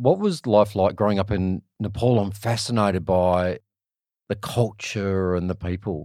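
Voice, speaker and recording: A man with an Australian accent, fairly low in pitch with a dark, mellow tone, fairly slow and fairly even in intonation, on a very clean recording with a silent background. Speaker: podcast host. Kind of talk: casual interview chat; scripted intro.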